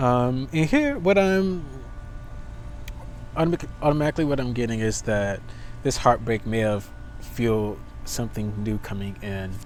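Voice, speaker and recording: A man at medium pitch and moderate pace, lively in intonation, with long, frequent pauses and audible room echo. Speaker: tarot reader. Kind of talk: tarot reading. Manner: stuttering; casual.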